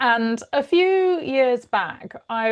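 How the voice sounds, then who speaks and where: A woman speaks with a British accent. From United Kingdom. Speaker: mediator and organizational consultant. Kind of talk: podcast interview.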